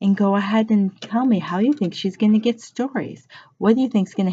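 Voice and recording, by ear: A natural voice reading aloud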